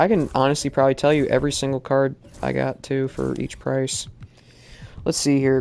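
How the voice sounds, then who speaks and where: Fairly quick speech with music in the background. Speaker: gaming streamer. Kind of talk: live gameplay commentary. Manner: slurred speech; excited outbursts.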